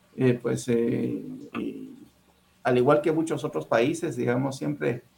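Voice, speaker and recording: A man at medium pitch uses lively intonation with vocal fry. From Guatemala City, Guatemala. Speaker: diplomat. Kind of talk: interview. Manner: halting.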